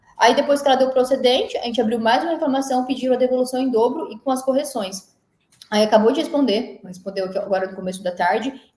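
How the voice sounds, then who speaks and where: A woman talks at a very fast pace. Her high pitch shows ordinary variation. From Mato Grosso do Sul, Brazil. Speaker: energy consultant and engineer. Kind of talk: casual interview.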